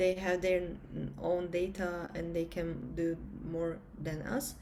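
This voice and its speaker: At a very slow pace, a woman with a Turkish accent speaks in a fairly low pitch with fairly even intonation, with room echo audible. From Turkey. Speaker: entrepreneur, former engineer and pilot. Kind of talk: conference interview. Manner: halting, many fillers.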